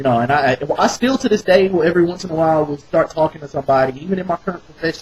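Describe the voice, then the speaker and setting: Rattling along at a very fast pace with hardly any pauses, a man with a slight Southern accent speaks in a fairly high voice with lively intonation. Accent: slight southern twang. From US South, rural North Carolina. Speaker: vlogger. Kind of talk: casual monologue. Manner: animated.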